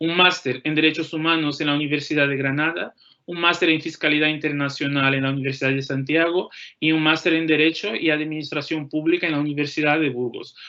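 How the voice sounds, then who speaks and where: The speaker has a Portuguese accent. The pace is fairly quick. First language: Portuguese (speaking Spanish). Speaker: law graduate and postdoctoral researcher. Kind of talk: career talk to students.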